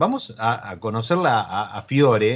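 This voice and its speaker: A man speaks in a somewhat breathy, medium-pitched voice. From Argentina, Mendoza. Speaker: podcast host. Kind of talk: casual interview about wine. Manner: halting, many repeated words.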